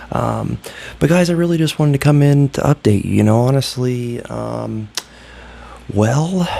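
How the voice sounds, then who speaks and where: Moderate pace broken by long, frequent pauses, over noticeable background noise. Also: man, medium pitch for a man, ordinary pitch variation. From Ohio, US Midwest. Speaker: YouTuber vlogger. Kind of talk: casual vlog monologue. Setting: hotel room. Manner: subdued, keeping voice down; halting, many fillers.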